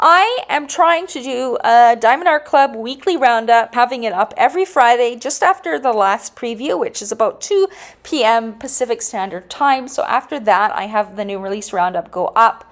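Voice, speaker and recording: A woman speaks with hardly any pauses. Her high voice swings very widely in pitch. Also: moderate pace. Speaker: diamond painting YouTuber. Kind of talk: casual product round-up vlog.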